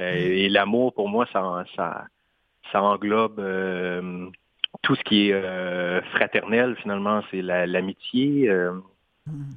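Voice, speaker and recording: At a very slow pace full of long, frequent pauses, a man speaks with a fairly low pitch and ordinary pitch variation. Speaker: singer-songwriter and poet. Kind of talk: interview. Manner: halting.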